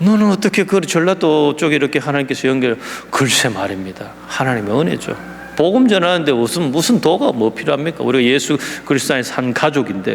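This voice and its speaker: A man speaks fairly quickly in a Gyeongsang accent with lively intonation. There is noticeable background noise behind him. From South Korea, Gyeongsang (Daegu). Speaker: missionary. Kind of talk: sermon. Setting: church.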